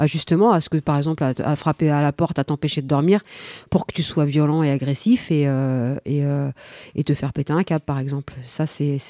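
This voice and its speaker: A woman with a very deep, low pitch and a dark, mellow tone speaks fairly quickly with fairly even intonation, recorded dry and close with no echo in a very clean recording with a silent background. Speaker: radio host. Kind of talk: casual chat. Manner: halting.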